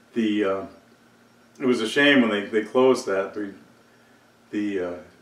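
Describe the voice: Audible room echo surrounds a man speaking at a fairly slow pace, with fairly low pitch and ordinary pitch variation.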